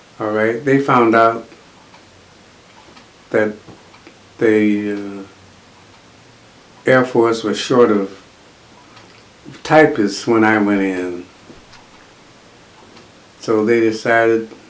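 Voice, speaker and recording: Amid noticeable background noise, a man speaks very slowly at a medium pitch with fairly even intonation and long, frequent pauses. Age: old. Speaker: World War Two Air Force veteran. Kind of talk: interview answer.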